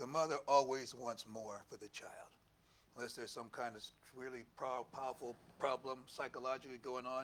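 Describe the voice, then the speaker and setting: Monotone, flat intonation from a man. His pitch sits at a medium level. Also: fairly quick pace, big swings in loudness. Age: 70s. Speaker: minister. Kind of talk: sermon. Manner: loud; conversational, halting asides.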